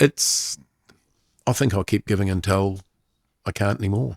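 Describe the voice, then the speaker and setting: A man's fairly low voice at a moderate pace, dry and close with no echo, in a very clean recording with a silent background. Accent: New Zealand. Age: 60s. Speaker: sports commentator. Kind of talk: casual chat.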